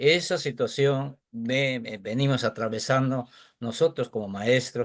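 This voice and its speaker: Speaking very slowly with an Andean accent, a man keeps a medium pitch and ordinary pitch variation against a quiet background. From Peru, San Martín region. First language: Quechua (speaking Spanish). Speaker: teacher. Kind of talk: audience question in webinar.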